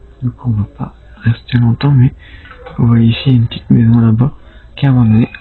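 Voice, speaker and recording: Quiet and at a medium pitch, a man talks with fairly even intonation over noticeable background noise. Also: long, frequent pauses. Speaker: urban explorer vlogger. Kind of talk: casual vlog narration. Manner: quiet, hushed to avoid noise; halting, filler-heavy.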